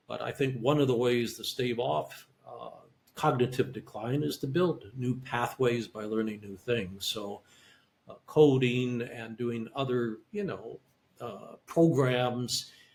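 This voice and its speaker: A somewhat breathy man speaks at a very slow pace, with big swings in loudness. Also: medium pitch for a man, ordinary pitch variation. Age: 70s. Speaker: neuromonitoring specialist and audiologist. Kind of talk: interview. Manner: halting.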